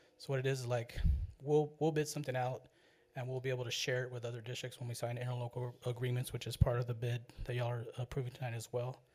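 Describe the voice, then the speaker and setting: A man's medium-pitched, somewhat breathy voice at a very fast pace, flat and monotone. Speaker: school district purchasing official. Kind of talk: board meeting report. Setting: public board meeting. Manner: casual, halting with fillers.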